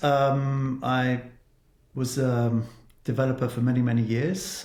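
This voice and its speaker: With a southern English accent, a man speaks at a medium pitch in a somewhat breathy voice. His intonation stays fairly even. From southern England, Cornwall. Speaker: tech executive. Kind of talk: interview.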